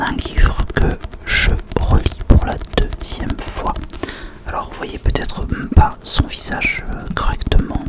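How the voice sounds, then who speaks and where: A man's whisper at a very slow pace, with big swings in loudness, long, frequent pauses and noticeable background noise. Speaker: ASMR creator. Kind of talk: casual talk to camera. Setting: close to microphone. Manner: whispered.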